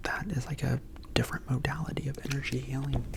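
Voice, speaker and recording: A man is whispering. Noticeable background noise runs underneath. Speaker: Reiki healer. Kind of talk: ASMR story time. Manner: soft-spoken, relaxing.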